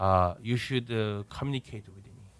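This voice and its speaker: A man speaks with a Korean accent at a moderate pace and fairly low pitch. The recording is very clean, with a silent background and a dry, close sound with no echo. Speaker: professor. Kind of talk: interview. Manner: halting.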